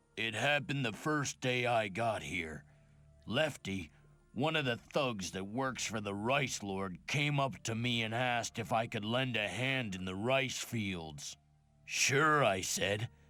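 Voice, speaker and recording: Putting on a rumbling character voice at medium pitch, a man talks at a fairly slow pace with lively intonation. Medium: video game. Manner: grumbling, resentful.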